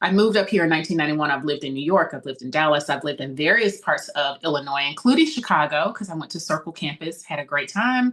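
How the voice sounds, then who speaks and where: The voice shows ordinary pitch variation, and there is noticeable background noise. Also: woman. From Mississippi. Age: 50s. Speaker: political candidate. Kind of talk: podcast interview.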